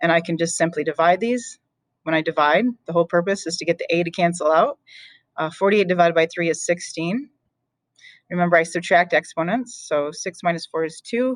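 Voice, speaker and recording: Fairly low-pitched female speech at a fairly quick pace, with ordinary pitch variation and a dry, close sound with no echo. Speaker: math teacher. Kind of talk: recorded lesson. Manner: fast; casual, filler-heavy.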